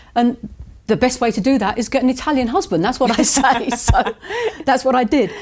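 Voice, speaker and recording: A woman with a high pitch and ordinary pitch variation speaks at a fairly quick pace against noticeable background noise. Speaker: estate agent. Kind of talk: interview.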